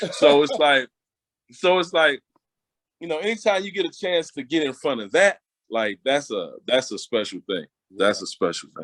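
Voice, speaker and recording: In an American accent, a man with a fairly high pitch and vocal fry talks at a moderate pace, his pitch swinging very widely and his loudness rising and falling sharply, with long, frequent pauses, all captured dry and close with no echo on a very clean recording with a silent background. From Connecticut (Hartford). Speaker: R&B singer. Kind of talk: interview.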